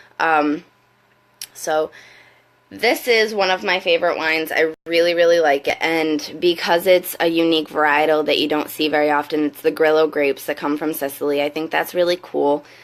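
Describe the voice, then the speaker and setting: A woman speaks with a very deep, low pitch. Her intonation is fairly even and her pace moderate. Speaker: wine consultant. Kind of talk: casual live video talk to camera. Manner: hesitant, many fillers.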